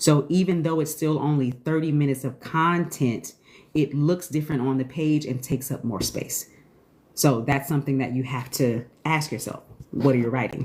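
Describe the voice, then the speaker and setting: Speaking at a moderate pace, a woman uses a very deep, low pitch with ordinary pitch variation. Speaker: screenwriting teacher. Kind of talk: live stream Q&A. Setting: TikTok live stream.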